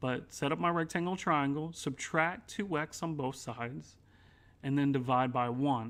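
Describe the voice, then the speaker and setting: The pace is moderate. The background is quiet. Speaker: math teacher. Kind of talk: tutorial.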